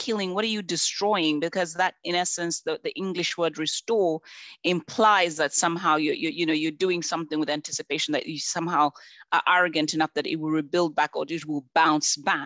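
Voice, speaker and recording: This woman talks at a fairly quick pace with ordinary pitch variation. She speaks in a Zambian accent. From Zambia (rural). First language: Bemba. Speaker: conservation expert, panelist. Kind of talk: panel discussion. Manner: repetitive, many false starts.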